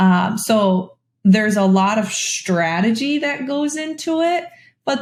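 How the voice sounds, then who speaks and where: A woman speaks in a somewhat breathy voice. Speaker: career coach. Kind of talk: interview answers. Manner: occasional stumbles over words.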